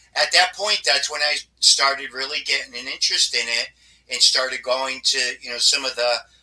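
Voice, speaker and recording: In an American accent, a man talks at a moderate pace with ordinary pitch variation and a fairly high pitch. He has an ordinary speaking voice. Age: 60s. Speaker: paranormal investigator. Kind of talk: interview.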